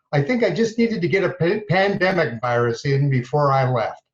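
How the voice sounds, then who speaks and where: A man's somewhat breathy voice, fairly high in pitch, with lively intonation at a moderate pace. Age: 60s. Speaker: military chaplain. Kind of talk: prepared remarks. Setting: video recording.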